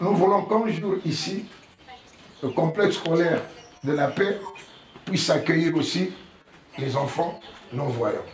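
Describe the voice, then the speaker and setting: Over noticeable background noise and audible room echo, a man speaks very slowly at a high pitch, leaving long, frequent pauses. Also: ordinary pitch variation. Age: 60s. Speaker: blind association president. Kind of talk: address to schoolchildren.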